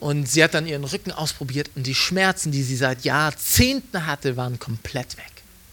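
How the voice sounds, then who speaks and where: A man speaks in a plain, everyday voice, fairly high in pitch, at a moderate pace with ordinary pitch variation and hardly any pauses. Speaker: evangelist. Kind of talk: sermon.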